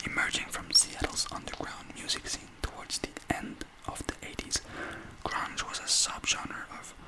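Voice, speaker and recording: Someone is whispering at a fairly slow pace. There is noticeable background noise. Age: young. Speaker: student presenter. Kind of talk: ASMR talk presentation. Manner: soft-spoken.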